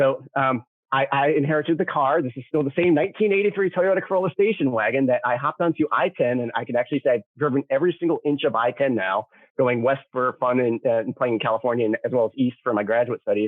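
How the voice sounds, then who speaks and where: A man with an American accent talks at a very fast pace in a fairly high pitch, his intonation lively. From US Southwest, Tucson, Arizona. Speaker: scientist. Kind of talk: lecture. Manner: animated.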